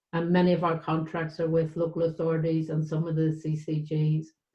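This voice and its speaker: A woman with a Northern Irish accent, fairly low in pitch, somewhat breathy, at a moderate pace. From Northern Ireland, West Belfast. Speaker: charity director. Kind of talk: panel discussion.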